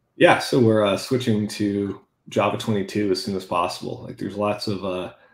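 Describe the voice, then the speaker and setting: A man talks at a fairly quick pace and a fairly low pitch. His intonation is monotone and flat, with audible room echo. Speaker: software engineer. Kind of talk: technical interview. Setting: video call. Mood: relaxed technical explanation. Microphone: video call.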